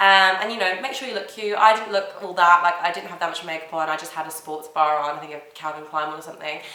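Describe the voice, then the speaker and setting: A woman's fairly low voice at a very fast pace, with hardly any pauses, big swings in loudness and ordinary pitch variation, in audible room echo amid noticeable background noise. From London. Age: 20s. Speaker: YouTuber, reality TV contestant. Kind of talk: casual vlog advice. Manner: animated.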